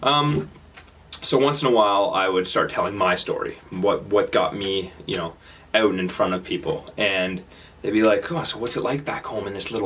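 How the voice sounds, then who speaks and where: In a strong Canadian accent, a man speaks at a fairly low pitch and a fairly quick pace. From Canada, Kitchener-Waterloo, Ontario. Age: 20s. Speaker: speaker sharing travel experiences. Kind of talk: talk to audience. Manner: halting, many fillers and repetitions.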